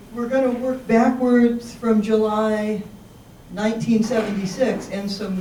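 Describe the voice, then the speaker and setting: A woman's fairly high voice at a fairly slow pace, with noticeable background noise and audible room echo. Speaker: local history presenter. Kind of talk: public presentation. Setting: senior center talk with audience.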